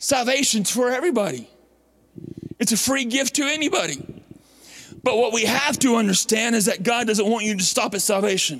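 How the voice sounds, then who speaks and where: A man speaks in an animated tone at an extremely high pitch, with ordinary pitch variation and very even loudness, at a fairly quick pace broken by long, frequent pauses. There is noticeable background noise and audible room echo. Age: 40s. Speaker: visiting preacher. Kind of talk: sermon. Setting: church.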